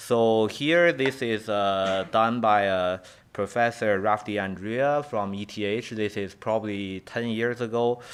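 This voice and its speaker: Very slowly, a man speaks in a fairly low voice with a Chinese accent. The recording is very clean, with a silent background. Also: ordinary pitch variation, hardly any pauses. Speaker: professor. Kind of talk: lecture. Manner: halting.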